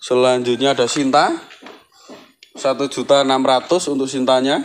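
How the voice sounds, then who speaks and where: A man speaks at a fairly slow pace in a cheerful tone but with monotone, flat intonation. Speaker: plant seller. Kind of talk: street-market sales pitch listing plants and prices. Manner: repetitive, hawking each item twice with 'murah meriah' cheerful calls. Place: garden. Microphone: phone near.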